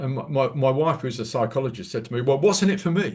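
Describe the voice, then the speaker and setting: Over a quiet background, a man speaks very fast in a somewhat breathy voice with very wide pitch swings. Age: 70s. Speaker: environmental presenter, retired marine specialist. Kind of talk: Q&A discussion after presentation. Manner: halting, many repetitions.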